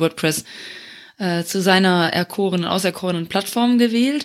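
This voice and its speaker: A woman talks with ordinary pitch variation. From Luxembourg. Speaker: community manager. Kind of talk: casual interview.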